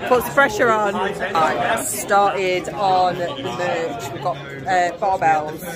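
A woman speaks with crowd noise in the background. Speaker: event visitor vlogger. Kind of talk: casual vlog chat. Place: hall. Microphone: phone near.

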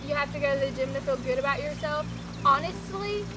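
A woman speaks at a fairly quick pace while loud noise fills the background. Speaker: vlogger. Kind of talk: casual vlog chat. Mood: cheerful, encouraging. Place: garden.

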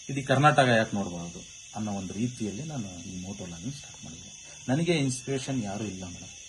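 In an ordinary speaking voice, a man talks at a fairly low pitch with lively intonation and big swings in loudness. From Karnataka, Chitradurga district. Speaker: motovlogger. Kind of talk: interview.

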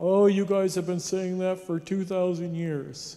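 A man puts on a put-on character voice with a high pitch. The delivery is monotone, flat intonation at a fairly slow pace. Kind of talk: lecture. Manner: mocking, dismissive.

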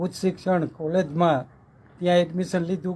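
High-pitched, mostly level speech from a man. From Saurashtra, Gujarat (Morbi area village). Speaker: retired school teacher. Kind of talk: interview, life story.

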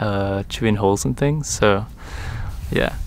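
The sound is dry, with no echo and light background noise. The pace is fairly slow. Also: man. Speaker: vehicle dweller vlogger. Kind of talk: casual vlog chat. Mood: amused, mildly exasperated. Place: open country. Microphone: phone near.

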